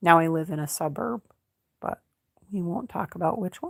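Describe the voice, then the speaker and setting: A woman is talking here. Her voice sits at a very deep, low pitch. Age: 50s. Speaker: crochet YouTuber. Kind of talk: casual livestream chat. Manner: casual, with frequent filler ums.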